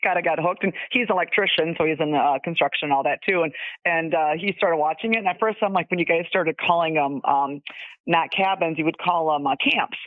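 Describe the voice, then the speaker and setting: In an Upper Midwest accent, a woman talks at a very fast pace with a fairly low pitch. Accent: Upper Midwest American. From Wisconsin. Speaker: caller, fan of the show. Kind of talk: casual chat. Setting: phone call. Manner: animated, laughs often.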